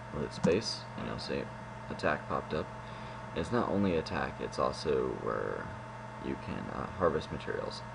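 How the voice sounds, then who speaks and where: A soft-spoken man talks at a moderate pace amid noticeable background noise and audible room echo. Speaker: student game developer. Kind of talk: tutorial.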